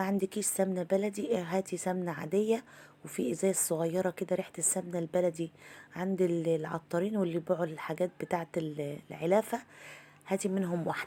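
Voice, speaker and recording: This voice has a dark, mellow tone, fairly even intonation and a moderate pace. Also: woman. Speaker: home cook. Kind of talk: cooking tutorial. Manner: warm, chatty.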